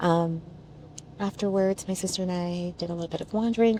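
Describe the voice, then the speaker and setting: A soft-spoken woman talks at a fairly quick pace. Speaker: travel vlogger. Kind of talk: casual vlog chat. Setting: on a bus. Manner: quiet, speaking softly.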